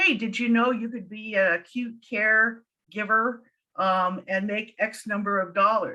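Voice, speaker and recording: Speaking at a fairly slow pace with an American accent, a woman uses a fairly high pitch and ordinary pitch variation in an ordinary speaking voice. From USA. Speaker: noncredit educator. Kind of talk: panel discussion. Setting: webinar.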